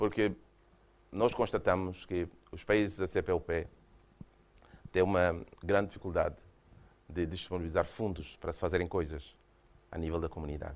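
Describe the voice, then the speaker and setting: Speaking at a moderate pace with long, frequent pauses, a man with a Mozambican accent uses a very deep, low pitch and fairly even intonation. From Mozambique. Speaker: UN official, former government minister. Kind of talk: lecture. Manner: hesitant, repeats words.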